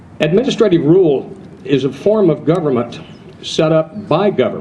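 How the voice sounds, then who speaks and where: Over noticeable background noise, a man speaks with a fairly high pitch and lively intonation. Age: 70s. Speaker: transmission shop owner. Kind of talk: rally speech.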